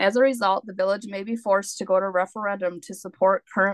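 Over a quiet background, a woman talks at a very fast pace with ordinary pitch variation and a dry sound with no echo. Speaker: resident giving public comment. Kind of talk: public comment statement. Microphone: video call.

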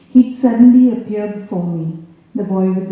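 Ordinary pitch variation, reading aloud in a natural voice.

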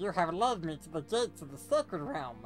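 Over clear background music, a put-on character voice at a middle pitch swings very widely in pitch at a fairly quick pace. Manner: menacing, dramatic.

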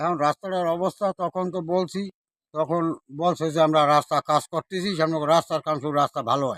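A man's high voice with fairly even intonation, dry and close with no echo, in a very clean recording over a silent background. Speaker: local resident. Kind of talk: street interview. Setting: outdoors.

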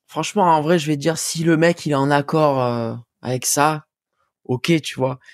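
This is spoken with a southern French accent. The recording is very clean, over a silent background. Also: man, dry, close sound with no echo. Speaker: musician. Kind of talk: casual chat. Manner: casual, slangy.

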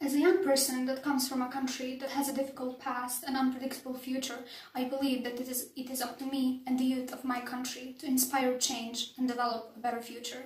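A woman's high, monotone voice with flat intonation at a fairly quick pace, with audible room echo. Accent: Bosnian. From Bosnia and Herzegovina. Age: young. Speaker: political science student. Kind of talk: application video talk to camera. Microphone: phone near.

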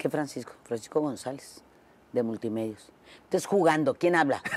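A woman speaks at a moderate pace with a very deep, low pitch. The sound is dry with no echo, and light background noise is present. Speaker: interview guest. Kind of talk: interview answer, storytelling. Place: studio. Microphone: lapel.

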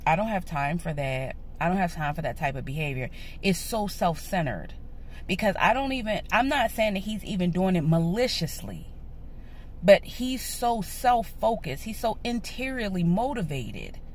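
Somewhat breathy and at a moderate pace, a woman's voice swings very widely in pitch, with a dry sound and no echo. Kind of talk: casual vlog chat. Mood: frustrated, earnest. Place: car. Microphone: phone near.

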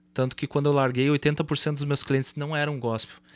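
The pace is fairly quick as a man speaks. No echo colors the dry sound. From Brazil. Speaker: podcast host. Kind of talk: casual chat. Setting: studio. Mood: reflective, earnest. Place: studio. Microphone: studio mic.

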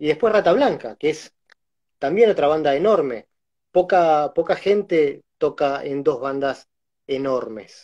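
Man in a Rioplatense accent at a fairly slow pace, fairly high pitch and lively intonation, against a quiet background. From Argentina. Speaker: concert photographer and interviewer; interviewer. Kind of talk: casual interview. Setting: Instagram live video call. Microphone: video call.

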